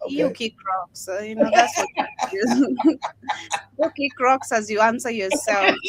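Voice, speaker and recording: With a South African accent, a woman speaks at a fairly slow pace in a fairly high pitch with lively intonation, over noticeable background noise. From Lesotho. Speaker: livestream co-host. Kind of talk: casual chat.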